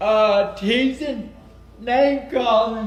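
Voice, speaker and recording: A loud man with an extremely high pitch and fairly even intonation is heard amid noticeable background noise and audible room echo. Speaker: self-advocate speaker. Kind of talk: conference presentation.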